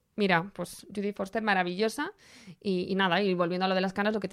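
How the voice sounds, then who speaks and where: In a very clean recording with a silent background, a woman with a Spanish accent speaks at a fairly quick pace with fairly even intonation. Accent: Peninsular Spanish. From Spain, small town. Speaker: fashion podcast host. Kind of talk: casual chat.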